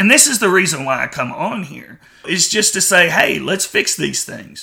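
A loud man with a high pitch and a bright, sharp tone speaks at a moderate pace with lively intonation. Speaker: podcast host. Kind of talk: opinion monologue.

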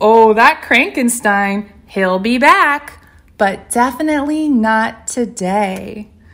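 Someone reads aloud with a natural voice.

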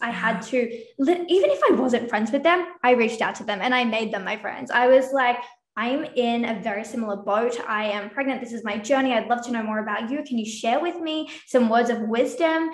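A woman talks at a moderate pace with hardly any pauses, her pitch fairly high and its variation ordinary. The room echo is audible, and the background noise is noticeable. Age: 20s. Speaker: business consultant. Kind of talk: casual interview.

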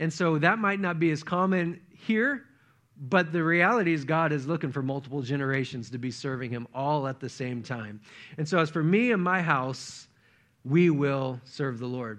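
This man has an unremarkable speaking voice at a fairly high pitch. He talks at a moderate pace with lively intonation. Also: quiet background. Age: 40s. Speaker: pastor. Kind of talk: sermon.

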